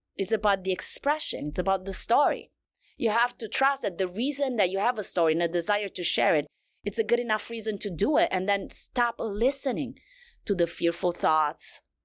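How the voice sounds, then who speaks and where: A woman with a non-native accent at a medium pitch, fairly quick and with lively intonation, in a very clean recording with a silent background. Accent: foreign. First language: not English. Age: 40s. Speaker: women's coach and speaker. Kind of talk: podcast interview. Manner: animated.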